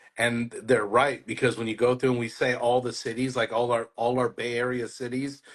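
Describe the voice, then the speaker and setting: A man's medium-pitched voice at a moderate pace, monotone and flat, with hardly any pauses. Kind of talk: casual.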